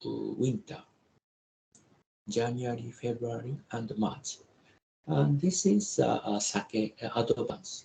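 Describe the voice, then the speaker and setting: Speaking very slowly with long, frequent pauses, a man talks in a Japanese accent. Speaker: professor. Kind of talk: lecture. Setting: video call. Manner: halting.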